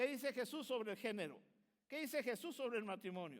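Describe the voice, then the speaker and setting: The man's pitch is extremely high. He speaks at a fairly quick pace with lively intonation. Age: 60s. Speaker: pastor. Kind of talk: sermon.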